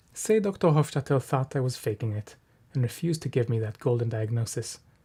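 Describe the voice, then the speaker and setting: A man with an Israeli accent speaks at a medium pitch, somewhat breathy, with a dark, mellow tone. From Israel, Jerusalem. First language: Hebrew. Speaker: writer. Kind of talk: reading aloud.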